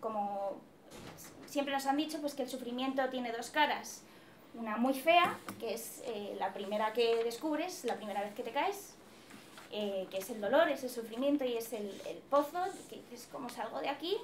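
Light background noise sits behind a woman speaking at a moderate pace with a high pitch, lively intonation, and long, frequent pauses. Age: 20s. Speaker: psychology student; presenter. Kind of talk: personal testimony. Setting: event hall with audience. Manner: hesitant, many fillers. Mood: reflective, earnest. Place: classroom. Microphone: camera far.

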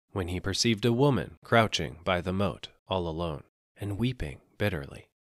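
With ordinary variation in pitch, an unforced reading voice comes through against a quiet background.

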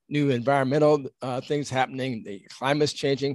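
A man at a moderate pace, ordinary pitch variation, dry sound with no echo, quiet background. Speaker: presenter. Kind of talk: lecture. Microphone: headset.

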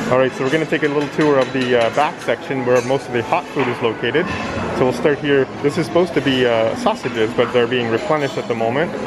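Clear music plays behind a man's voice. He speaks very fast with ordinary pitch variation. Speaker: travel vlogger. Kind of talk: casual tour commentary. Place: hall. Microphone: phone near.

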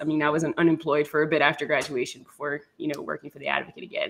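Speaking at a fairly quick pace, a woman uses a very deep, low voice. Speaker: guest sports reporter. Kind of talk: interview answer. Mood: friendly, relaxed. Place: home room.

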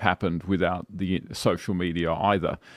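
A man at a moderate pace with an Australian accent, dry sound with no echo and a quiet background. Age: 40s. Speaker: political commentator. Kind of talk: casual chat. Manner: halting. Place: studio. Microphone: studio mic.

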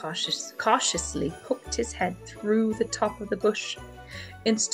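With ordinary pitch variation, the voice reads in a natural way.

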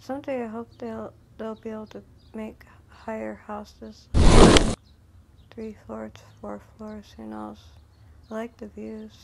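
A woman at a very slow pace over loud background noise. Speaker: game player narrator. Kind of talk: casual game walkthrough commentary.

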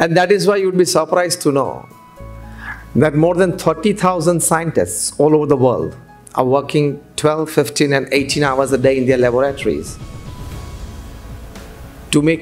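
A man at a moderate pace with ordinary pitch variation, very even loudness, long and frequent pauses, and faint music in the background. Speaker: speaker. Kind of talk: seminar talk. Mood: warm, smiling. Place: hall. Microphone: podium.

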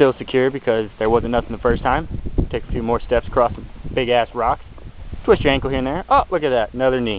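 Talking at a very fast pace with fairly even intonation, a man is heard in a dry recording with no echo and light background noise. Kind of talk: casual vlog chat, sarcastic commentary. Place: open country. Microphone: phone near.

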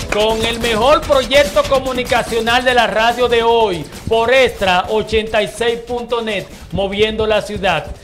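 A man speaks at a very slow pace in an extremely high pitch, his intonation fairly even, over noticeable background noise. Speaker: radio show host. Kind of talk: radio talk show. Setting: radio studio.

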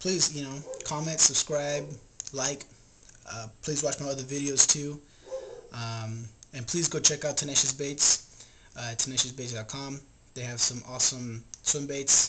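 A man at a fairly slow pace, long, frequent pauses, loud background noise behind him. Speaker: fishing video host. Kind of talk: casual vlog chat. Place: home room. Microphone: webcam.

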